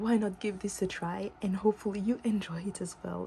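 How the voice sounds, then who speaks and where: A woman talks at a moderate pace in a medium-pitched, somewhat breathy voice with a dark, mellow tone and ordinary pitch variation. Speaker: tarot reader. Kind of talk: tarot reading to camera. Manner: some stuttering and mixed-up words.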